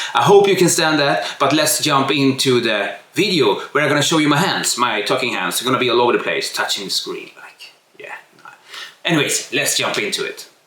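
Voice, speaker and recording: Fairly quick speech comes from a man. Noticeable background noise sits beneath it. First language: not English. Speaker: tech youtuber. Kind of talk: tutorial. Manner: unscripted, casual. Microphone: poor camera mic at start.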